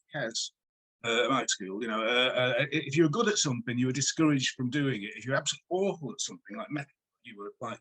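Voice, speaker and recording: A man with a Manchester accent speaks with very wide pitch swings, the sound dry and close with no echo. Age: 60s. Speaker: music writer and journalist. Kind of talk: interview.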